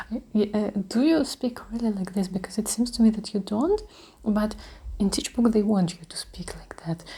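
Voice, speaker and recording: Speaking at a moderate pace in a Russian accent, a woman with a fairly high pitch shows ordinary pitch variation and big swings in loudness. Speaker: ASMR creator. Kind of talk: ASMR talk. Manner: soft-spoken; halting.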